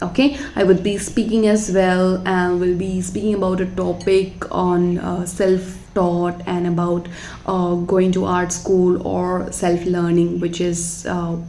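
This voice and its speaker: A woman with a fairly low pitch speaks very slowly in a monotone, flat way with hardly any pauses, over noticeable background noise and audible room echo. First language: not English. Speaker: watercolor artist. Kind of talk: voiceover tutorial chat. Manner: halting, many fillers.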